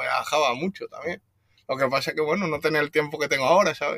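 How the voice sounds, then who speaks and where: Fairly high-pitched for a man, his bright, sharp tone rises and falls with ordinary pitch variation. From Spain, Extremadura (Badajoz). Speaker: van traveller, motorcyclist, accident survivor. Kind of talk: casual interview. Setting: in his van in Portugal. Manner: halting, many repeated words.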